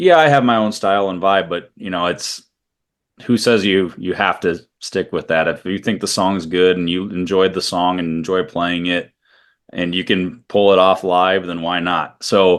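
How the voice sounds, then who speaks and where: Against a quiet background, a man speaks in a very deep, low pitch with fairly even intonation. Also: moderate pace. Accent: Midwestern US. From US Midwest, Iowa. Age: 30s. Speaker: country singer-songwriter. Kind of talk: interview.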